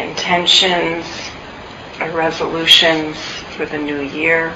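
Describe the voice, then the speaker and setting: Over noticeable background noise, a woman talks very slowly in a monotone, flat intonation at a fairly low pitch. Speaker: meditation teacher. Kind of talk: guided meditation. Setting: meditation center, recorded talk. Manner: slow, soft-spoken, calm; gentle, soothing, with long pauses.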